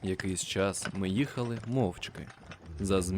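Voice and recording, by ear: A voice reading aloud in a natural way.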